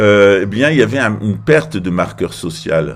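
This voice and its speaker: Speaking at a fairly slow pace, a man with an unremarkable speaking voice uses lively intonation at a fairly low pitch. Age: 50s. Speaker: political commentator. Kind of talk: political monologue.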